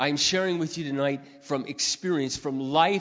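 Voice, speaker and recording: An ordinary speaking voice carries a fairly even intonation. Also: man. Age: 50s. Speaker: pastor. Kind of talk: sermon.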